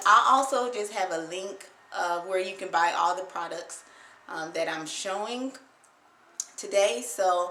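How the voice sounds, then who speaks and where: A woman with an American accent speaks fairly slowly at a medium pitch with ordinary pitch variation, and the room echo is audible. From Ohio, US Midwest. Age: 30s. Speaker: beauty vlogger. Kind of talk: tutorial. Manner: hesitant, frequent filler words.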